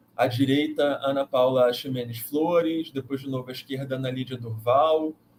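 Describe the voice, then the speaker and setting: Noticeable background noise behind a man's medium pitch, fairly even intonation and moderate pace. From Brazil, Rio de Janeiro. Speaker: math education professor and live host. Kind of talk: online course live presentation. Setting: livestream.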